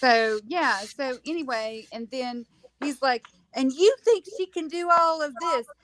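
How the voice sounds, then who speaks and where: A woman speaks in a Southern US accent at a high pitch. Her intonation is lively and her pace fairly slow. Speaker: home health clinician. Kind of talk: casual chat.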